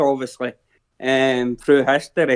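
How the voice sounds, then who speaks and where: A man with a Scottish accent at a fairly slow pace, in a dry, close sound with no echo. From Scotland. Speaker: viewer joining a watch-along chat. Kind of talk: casual chat.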